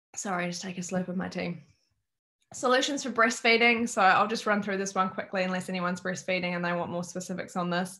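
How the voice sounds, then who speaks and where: Woman with an Australian accent at a very fast pace, medium in pitch and fairly even in intonation, against a quiet background. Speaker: wellness educator. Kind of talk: online workshop presentation.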